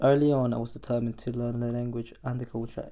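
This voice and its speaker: A man's dark, mellow tone at medium pitch, monotone and flat in intonation, at a very fast pace. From Colombia. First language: Spanish. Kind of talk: personal narration. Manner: reflective.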